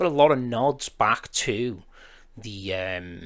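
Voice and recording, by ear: The man has a fairly bright tone.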